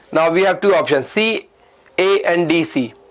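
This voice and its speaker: Noticeable background noise sits behind a man's voice. He speaks at a fairly slow pace with ordinary pitch variation. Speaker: English teacher. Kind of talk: lecture. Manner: mumbling; halting.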